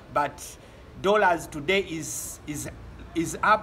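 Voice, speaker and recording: A man with a Ugandan accent speaks in a raised, projected voice with ordinary pitch variation. Noticeable background noise can be heard. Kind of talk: casual talk to camera.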